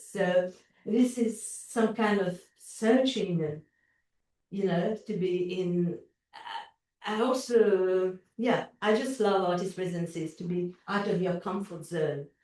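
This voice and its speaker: A very slow, dark, mellow woman's voice at a medium pitch with ordinary pitch variation and a strong Mauritian accent. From Mauritius. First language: French. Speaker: visual artist. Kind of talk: interview. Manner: halting, many fillers and repetitions.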